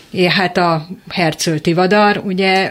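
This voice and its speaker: Noticeable background noise sits under a woman speaking at a medium pitch with ordinary pitch variation. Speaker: panel guest. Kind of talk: radio discussion.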